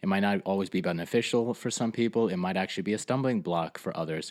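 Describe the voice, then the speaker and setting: A man with an ordinary speaking voice, fairly low in pitch, with ordinary pitch variation, on a very clean recording with a silent background. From Fort Lee, New Jersey. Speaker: podcast host. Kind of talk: religious podcast discussion.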